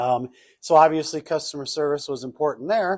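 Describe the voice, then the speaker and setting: Over a very clean recording with a silent background, a man with a Minnesotan accent speaks at a moderate pace with ordinary pitch variation. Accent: Minnesota. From northern Minnesota. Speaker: customer service speaker and trainer. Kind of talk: workshop presentation. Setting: banquet hall with audience. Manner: casual, conversational.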